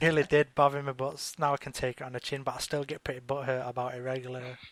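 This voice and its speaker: A man talks at a very fast pace and a medium pitch, with monotone, flat intonation. The sound is dry and close, with no echo. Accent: British. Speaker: talk show co-host. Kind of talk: casual chat. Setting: live internet broadcast.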